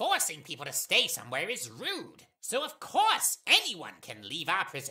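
A put-on character voice at middle pitch and a moderate pace. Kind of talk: comic overacting. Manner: enthusiastic, earnest, goofy.

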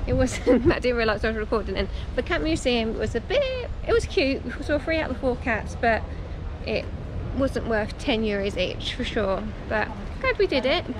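Against noticeable background noise, a woman speaks at a moderate pace in a dry sound with no echo. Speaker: travel vlogger. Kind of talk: casual vlog chat. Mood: relaxed, mildly amused. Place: street. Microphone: phone near.

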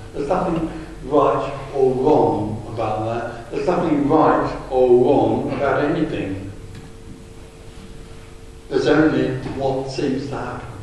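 A man speaks at a fairly slow pace with long, frequent pauses and ordinary pitch variation, over strong room echo and light background noise. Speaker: speaker. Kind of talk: talk to an audience. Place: hall.

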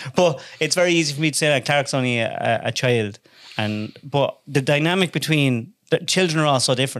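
A man with an Irish accent, fairly high in pitch, with ordinary pitch variation and a fairly quick pace. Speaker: podcast host. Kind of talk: casual chat. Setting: studio with microphones.

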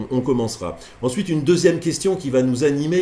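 Lively intonation from a man at a moderate pace. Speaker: teacher giving online course. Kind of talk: lecture. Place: office.

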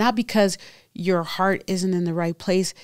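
A woman with an American accent talks at a moderate pace, fairly low in pitch with fairly even intonation. The sound is dry with no echo and the background is quiet. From Texas, San Antonio; Texas. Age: 50s. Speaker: interview guest sharing life story; interview guest. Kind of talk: testimony. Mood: earnest, emotional storytelling. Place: studio. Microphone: studio mic.

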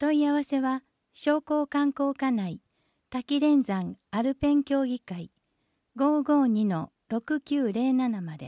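A woman with a high pitch and a dark, mellow tone speaks at a very slow pace with lively intonation, in a dry, close sound with no echo and a very clean recording over a silent background. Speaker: municipal newsletter reader. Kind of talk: reading aloud.

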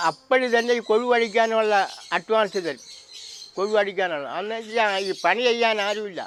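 This man's voice is high, with ordinary pitch variation. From Kerala, Kattakada (Thiruvananthapuram). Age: 70s. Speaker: traditional blacksmith. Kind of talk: interview. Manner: halting.

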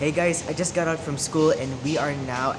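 Clear background music behind a man speaking at a moderate pace. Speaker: student vlogger. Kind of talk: casual vlog chat. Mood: excited, upbeat. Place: cafe. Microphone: phone near.

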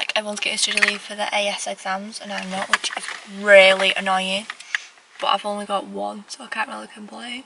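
A woman speaks fairly quickly while noticeable background noise carries on. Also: dry sound with no echo. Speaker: student vlogger. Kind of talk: casual vlog chat. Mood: relaxed, reassuring advice. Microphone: phone near.

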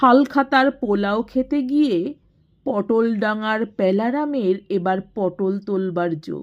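Just plain reading aloud

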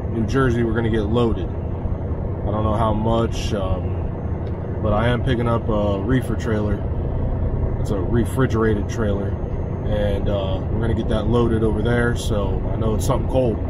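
A man at a moderate pace, dry sound with no echo, with loud background noise. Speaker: truck driver vlogger. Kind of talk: casual vlog chat. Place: car. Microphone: phone near.

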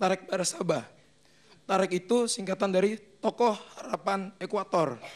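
A man is speaking. His intonation is fairly even.

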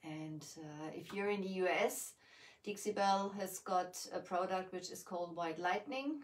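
Speaking with a German accent, a woman keeps a fairly slow pace. Her pitch is medium. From Germany. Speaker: furniture painter and craft shop owner. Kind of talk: live painting tutorial. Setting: livestream from home basement. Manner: hesitant, many fillers.

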